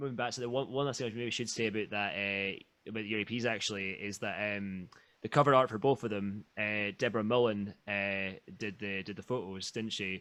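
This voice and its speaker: A man with a bright, sharp tone speaks fairly quickly at a fairly low pitch, keeping his intonation fairly even. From northeast Scotland. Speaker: podcast host. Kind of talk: casual chat. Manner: stammering, repeats words.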